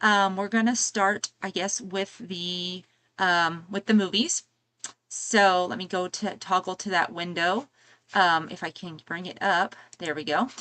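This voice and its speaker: Soft-spoken and at a fairly slow pace, a woman with a medium pitch and a bright, sharp tone keeps a fairly even intonation while her loudness swings widely against a quiet background. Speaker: YouTuber reviewing movie and music deals. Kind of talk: live stream product run-through. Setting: home live stream. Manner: hesitant, many fillers.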